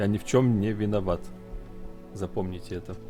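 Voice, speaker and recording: Calm tone from a man at a moderate pace, fairly low in pitch, with music in the background. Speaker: streamer. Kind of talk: Спокойный стример.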